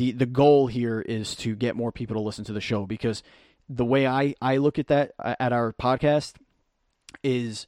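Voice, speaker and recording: On a very clean recording with a silent background, a man speaks at a moderate pace and medium pitch. The sound is dry and close with no echo, and his intonation is fairly even. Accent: New York. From Brooklyn, New York. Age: 30s. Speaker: actor and podcaster. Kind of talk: casual chat.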